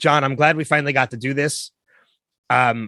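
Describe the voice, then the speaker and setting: Against a quiet background, a man with a bright, sharp tone and medium pitch speaks with fairly even intonation, the sound dry and close with no echo. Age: 40s. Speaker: podcast host. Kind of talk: podcast interview.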